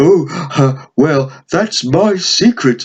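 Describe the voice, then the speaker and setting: At a middle pitch, the speaker puts on a character voice. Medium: read story. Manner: stammering, hesitant.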